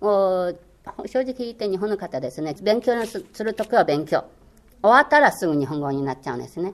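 With very wide pitch swings, a woman speaks at a fairly quick pace. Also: medium pitch for a woman. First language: Chinese (speaking Japanese). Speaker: former Chinese language course instructor. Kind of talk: interview. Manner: hesitant, many fillers.

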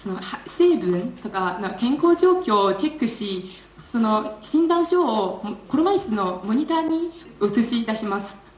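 A woman talks at a fairly slow pace in a fairly high voice with very wide pitch swings. Noticeable background noise sits behind her. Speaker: graduate student. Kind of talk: speech contest presentation.

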